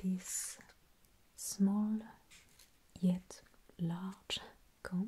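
Speaking at a very slow pace, a woman sounds somewhat breathy, her intonation monotone and flat. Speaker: video host. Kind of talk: soft-spoken tutorial narration. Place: home room.

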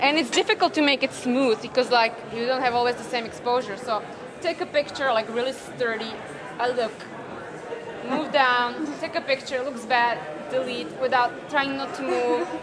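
With crowd noise in the background, the speaker talks at a moderate pace with ordinary pitch variation. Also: woman. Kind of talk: casual explanation in conversation. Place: hall.

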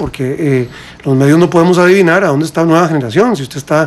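A man talks at a fairly quick pace with a fairly high pitch. His pitch varies in an ordinary way. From Costa Rica. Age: 40s. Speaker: presidential candidate; interview guest, candidate. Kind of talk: radio interview. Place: studio. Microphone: studio mic.

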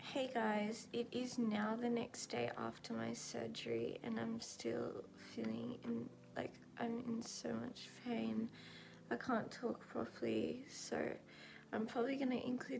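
This woman's noticeable background noise is clear throughout. She talks at a fairly slow pace. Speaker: vlogger. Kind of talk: casual vlog chat. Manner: swollen-mouthed, slurred, pained speech. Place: home room. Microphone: phone near.

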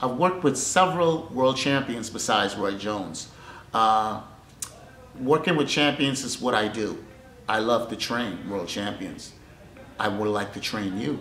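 Speaking at a fairly slow pace with lively intonation, a man leaves long, frequent pauses, with light background noise and audible room echo. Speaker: boxing trainer. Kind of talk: interview answer. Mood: warm, appreciative. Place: gym.

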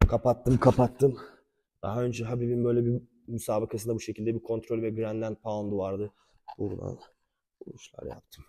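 A man talks at a fairly quick pace in a dark, mellow tone with monotone, flat intonation, long, frequent pauses and big swings in loudness. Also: medium pitch for a man. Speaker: martial arts instructor. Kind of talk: tutorial. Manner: halting.

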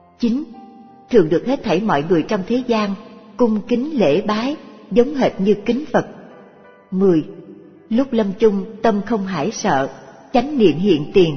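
Faint music plays behind a woman talking at a very slow pace with long, frequent pauses. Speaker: audiobook narrator. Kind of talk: reading of a religious text.

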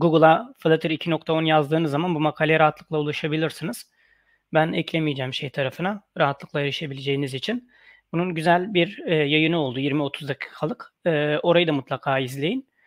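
There is a quiet background as a man speaks at a fairly quick pace with ordinary pitch variation, the sound dry with no echo. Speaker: online workshop instructor. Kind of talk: tutorial.

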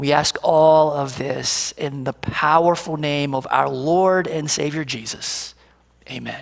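Against a quiet background, a man speaks at a very slow pace, his pitch fairly high and his intonation fairly even. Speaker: pastor. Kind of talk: prayer. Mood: calm, reverent. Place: church.

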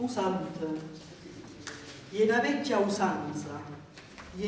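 With a southern Italian accent, a woman speaks at a very slow pace amid noticeable background noise and audible room echo. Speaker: poetry reader. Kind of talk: dialect poetry reading. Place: hall. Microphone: camera far.

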